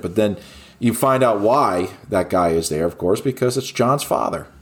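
Against music in the background, a man speaks at a fairly low pitch with ordinary pitch variation. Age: 40s. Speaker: movie podcast co-host. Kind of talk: casual chat.

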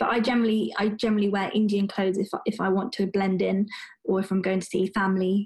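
Very fast and in a monotone, flat intonation, a woman with a British accent speaks at medium pitch. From London, England. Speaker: doctor. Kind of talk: interview. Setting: video call.

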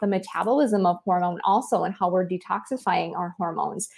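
The speaker has an American accent and ordinary pitch variation. The pace is fairly quick, with hardly any pauses. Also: woman. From US Michigan. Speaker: fertility doctor. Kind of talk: casual interview chat. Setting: video call, spotty audio.

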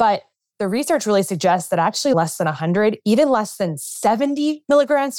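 An ordinary speaking voice with lively intonation, in a very clean recording with a silent background and a dry, close sound with no echo. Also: woman. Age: 30s. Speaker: physician. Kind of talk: interview.

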